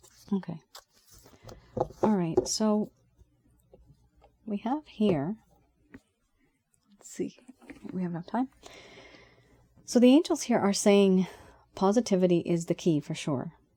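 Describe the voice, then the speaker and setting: A woman's somewhat breathy voice with a dark, mellow tone, lively intonation, a fairly slow pace and long, frequent pauses. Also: medium pitch for a woman, big swings in loudness. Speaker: tarot reader. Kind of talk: tarot reading. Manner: casual, conversational.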